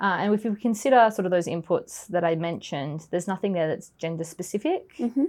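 A woman with an Australian accent speaks at a very fast pace with hardly any pauses. Her medium-pitched voice has lively intonation. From Australia, Melbourne area. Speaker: forensic accountant. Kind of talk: interview.

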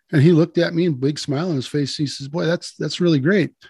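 With an American accent, a man speaks at a fairly quick pace. His voice is somewhat breathy and fairly high in pitch. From US Midwest, southwest Wisconsin. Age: 60s. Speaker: farmer and conservationist. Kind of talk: podcast interview. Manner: halting, many fillers.

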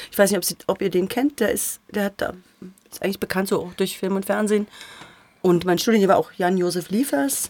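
Her medium-pitched voice moves at a fairly quick pace with ordinary pitch variation and long, frequent pauses, as a woman speaks in a dry, close sound with no echo over noticeable background noise. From Thuringia, Erfurt. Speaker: actress and voice actress. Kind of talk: casual chat. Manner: clear articulation.

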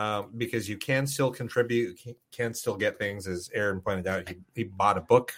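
A man speaks in an ordinary speaking voice, fairly low in pitch with ordinary pitch variation. His pace is moderate, with hardly any pauses. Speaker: podcast host and game store assistant manager. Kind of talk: casual chat.

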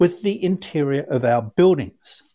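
On a very clean recording with a silent background, a man with an Australian accent speaks in a dark, mellow tone. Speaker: cleaning product manufacturer. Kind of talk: podcast interview.

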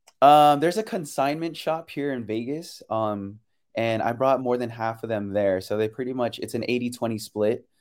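On a very clean recording with a silent background, a man with a Californian accent speaks at medium pitch and a moderate pace, with ordinary pitch variation. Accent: Californian American English. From San Francisco Bay Area, California. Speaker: choreographer and dancer. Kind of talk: interview. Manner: casual, laughs often.

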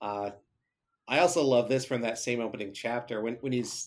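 A man with an unremarkable speaking voice talks at medium pitch and moderate pace. His pitch varies in an ordinary way on a very clean recording with a silent background. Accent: American. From Michigan. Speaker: podcast listener, reader. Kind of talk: reading aloud; casual interview.

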